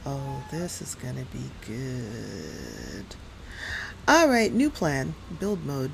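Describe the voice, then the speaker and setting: A woman with an American accent talks at a very slow pace, her loudness swinging widely over light background noise. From New York City area. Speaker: gaming streamer. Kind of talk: live game stream commentary. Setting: home streaming setup with USB microphone. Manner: casual, chatty with filler words. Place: home room. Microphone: headset.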